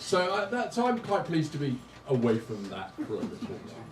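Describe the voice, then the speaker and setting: Over noticeable background noise and audible room echo, a man with an English accent speaks with very wide pitch swings. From England. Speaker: stand-up comedian. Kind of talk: stand-up. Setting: stage with audience. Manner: halting.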